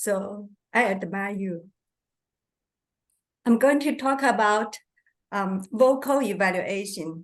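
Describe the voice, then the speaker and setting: A woman in a Chinese accent at a very slow pace, medium in pitch with ordinary pitch variation and long, frequent pauses, against a quiet background. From China. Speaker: Toastmasters club member giving vocal evaluation. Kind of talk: speech evaluation at club meeting.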